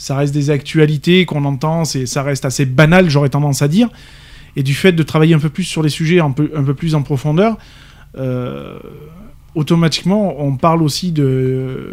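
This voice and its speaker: At a moderate pace, a man with a southern French accent talks in a fairly high pitch with ordinary pitch variation. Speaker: radio co-host. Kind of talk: live radio talk show.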